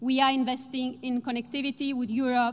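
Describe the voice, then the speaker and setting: A woman with a high pitch, monotone, flat intonation and a moderate pace. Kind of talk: formal speech. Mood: determined, measured. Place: hall. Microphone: podium.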